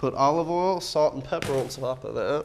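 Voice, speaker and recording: Light background noise sits behind a man. His intonation is fairly even. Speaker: guest. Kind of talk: cooking demonstration tutorial. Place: kitchen. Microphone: lapel.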